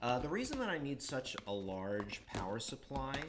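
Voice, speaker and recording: Noticeable background noise sits behind a man speaking fairly slowly with an American accent. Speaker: electronics hobbyist livestreamer. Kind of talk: live tutorial stream. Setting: livestream at workbench. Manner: halting, many fillers.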